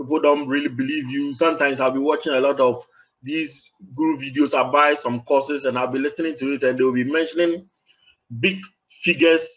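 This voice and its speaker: The speaker talks at a fairly quick pace with a Ghanaian accent. The intonation stays fairly even. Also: man, fairly high pitch for a man. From Ghana, West Africa. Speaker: online marketer. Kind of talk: interview. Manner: halting.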